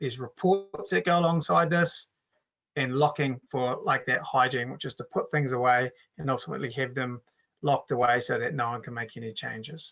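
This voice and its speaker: In a New Zealand accent, a man with a fairly high pitch and ordinary pitch variation talks at a very fast pace. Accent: Kiwi. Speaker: software company co-founder presenting a webinar. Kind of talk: webinar product demo. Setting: online webinar. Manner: casual, with filler words and restarts.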